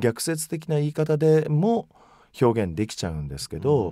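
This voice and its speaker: A man's medium-pitched voice with very wide pitch swings, dry sound with no echo, and faint music in the background. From Mie Prefecture, Japan (Ise area); Mie Prefecture. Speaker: magazine editor-in-chief; interview guest. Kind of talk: radio interview. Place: booth. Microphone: studio mic.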